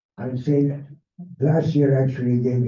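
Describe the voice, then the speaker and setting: A man's somewhat breathy, medium-pitched voice, dark and mellow in tone, with monotone, flat intonation and audible room echo. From Hungary, Budapest. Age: 80s+. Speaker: Holocaust survivor speaker. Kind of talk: public talk. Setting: library event with audience.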